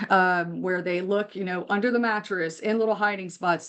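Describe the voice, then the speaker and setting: A woman's normal speaking voice, medium in pitch, with fairly even intonation against a quiet background. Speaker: mental health counselor. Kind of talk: webinar presentation.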